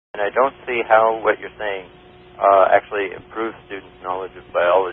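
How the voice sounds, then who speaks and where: A man's monotone, flat intonation against noticeable background noise. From Canada. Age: young. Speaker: evolution graduate student. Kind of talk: radio call-in debate. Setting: phone line.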